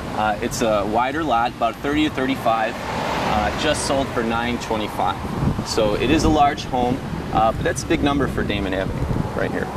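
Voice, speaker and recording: A man's voice, dry with no echo, under loud background noise. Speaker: real estate agent tour guide. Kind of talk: interview answer. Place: street. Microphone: phone near.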